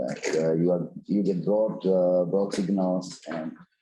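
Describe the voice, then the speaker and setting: With a dark, mellow tone and very deep, low pitch, a man talks at a fairly slow pace with ordinary pitch variation amid audible room echo. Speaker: scientist presenting core facility. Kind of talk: lecture Q&A. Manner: halting, many fillers.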